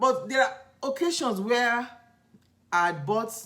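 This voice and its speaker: A Nigerian accent at a fairly slow pace. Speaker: lifestyle vlogger. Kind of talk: casual vlog storytelling. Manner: conversational, halting with self-corrections.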